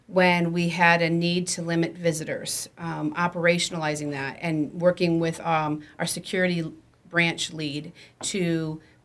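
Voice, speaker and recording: The pace is fairly slow. A woman speaks in a fairly low pitch. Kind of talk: interview answer. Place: meeting room. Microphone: studio mic.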